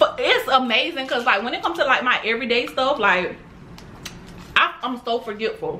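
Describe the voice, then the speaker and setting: The voice is raised and projected, with lively intonation and an animated tone. Light background noise sits behind it. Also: woman, high pitch for a woman. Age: 20s. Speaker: mukbang youtuber. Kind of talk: casual chat while eating. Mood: relaxed, chatty.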